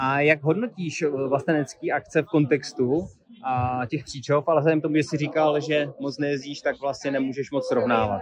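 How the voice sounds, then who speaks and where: With an ordinary speaking voice, a man talks at a moderate pace and fairly high pitch, with ordinary pitch variation, a dry sound with no echo and light background noise. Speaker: interviewer. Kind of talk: interview. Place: garden. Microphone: phone near.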